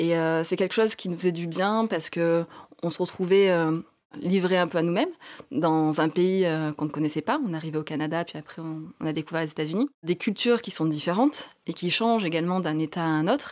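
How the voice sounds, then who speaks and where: Speaking at a fairly quick pace, a woman has an ordinary speaking voice, fairly low in pitch with ordinary pitch variation. The recording is very clean, its background silent. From southern France. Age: 30s. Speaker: architect turned van traveller and author. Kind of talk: interview.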